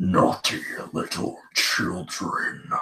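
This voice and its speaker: Putting on a character voice, a man growls in a raspy, menacing tone. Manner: cold, menacing.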